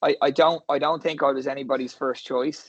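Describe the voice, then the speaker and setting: In an Irish accent, a man talks at a moderate pace with a fairly high pitch and fairly even intonation. The sound is dry and close, with no echo. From Ireland, Skerries near Dublin. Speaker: rugby coach. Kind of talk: interview. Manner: halting, many repeated words.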